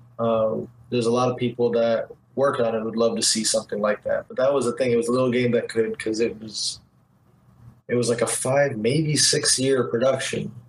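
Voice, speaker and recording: An American accent at a fairly quick pace against noticeable background noise. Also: man. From Detroit, US Midwest. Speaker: video game artist. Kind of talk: casual interview chat.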